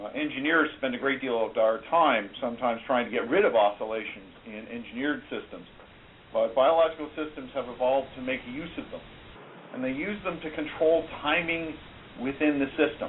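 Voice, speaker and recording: A man with a fairly high pitch and ordinary pitch variation speaks at a moderate pace over noticeable background noise. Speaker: biomedical professor and researcher. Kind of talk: interview.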